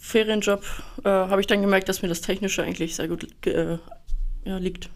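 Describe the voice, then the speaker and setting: The speaker is a woman with a medium pitch. She keeps to a moderate pace. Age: 20s. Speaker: apprentice industrial mechanic. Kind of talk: interview.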